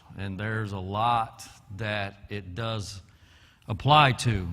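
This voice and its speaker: A man talks at a very slow pace with a medium pitch. Room echo can be heard. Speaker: Bible class teacher. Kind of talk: Bible class lecture.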